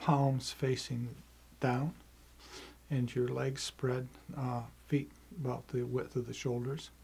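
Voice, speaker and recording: A man with a medium pitch sounds somewhat breathy, talking very slowly with fairly even intonation and long, frequent pauses. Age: 70s. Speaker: qigong teacher. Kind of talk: tutorial. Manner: halting.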